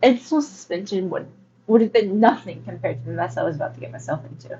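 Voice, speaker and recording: Talking at a very fast pace, a woman with a medium pitch shows very wide pitch swings, big swings in loudness and vocal fry. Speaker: audiobook reader. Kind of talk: reading aloud.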